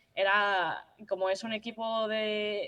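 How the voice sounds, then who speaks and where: Her intonation stays monotone and flat as this woman speaks at a fairly high pitch. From Madrid, Spain. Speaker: university football player. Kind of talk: interview. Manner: halting.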